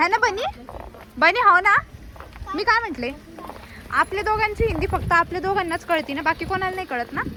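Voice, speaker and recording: Raising and projecting her voice, a woman speaks at an extremely high pitch with lively intonation amid noticeable background noise. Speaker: vlogger. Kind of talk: casual vlog chat. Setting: outdoors and in a rickshaw.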